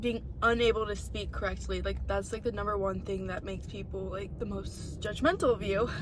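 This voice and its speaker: Speaking at a fairly quick pace with hardly any pauses, a woman is heard with audible room echo and noticeable background noise. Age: young. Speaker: podcast host. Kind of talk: personal testimony. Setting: in a parked car. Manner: fast; halting.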